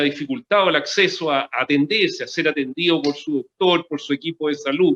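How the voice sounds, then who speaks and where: A man's bright, sharp tone with very wide pitch swings, a moderate pace and a dry, close sound with no echo. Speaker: cardiologist. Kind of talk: interview. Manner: halting.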